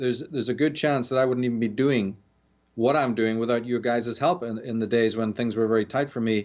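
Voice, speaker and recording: A man speaks with an Irish accent at a fairly quick pace. His voice sits at medium pitch with fairly even intonation. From Northern Ireland, Belfast. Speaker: author and lecturer on esoteric history. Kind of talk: radio interview.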